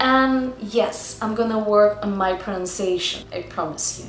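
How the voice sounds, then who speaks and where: A woman with a Russian accent at a fairly slow pace and ordinary pitch variation, with audible room echo and noticeable background noise. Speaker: acting student and vlogger. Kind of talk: vlog talking to camera. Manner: casual, filler-heavy.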